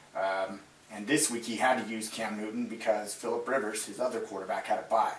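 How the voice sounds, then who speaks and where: Audible room echo and noticeable background noise accompany a man whose intonation stays fairly even. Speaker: fantasy football show host. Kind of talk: casual sports recap broadcast. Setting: live webcast. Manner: filler-heavy, relaxed.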